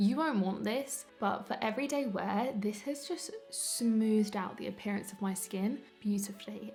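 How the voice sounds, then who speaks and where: Music plays behind a woman with a London accent whose fairly high voice shows ordinary pitch variation. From London, UK. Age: 20s. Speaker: beauty YouTuber, psychology student. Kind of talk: casual makeup review to camera.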